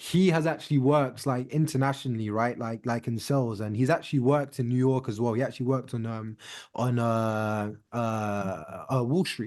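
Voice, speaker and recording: With a British accent and a medium pitch, a man speaks with hardly any pauses against a quiet background. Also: ordinary pitch variation, moderate pace. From UK. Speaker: podcast host. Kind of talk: casual interview chat. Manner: many fillers, hesitant.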